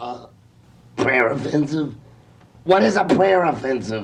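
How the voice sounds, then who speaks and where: A raspy man in a put-on character voice, medium pitch with very wide pitch swings, at a fairly slow pace with audible echo. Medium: comedy sketch. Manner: anxious, pleading.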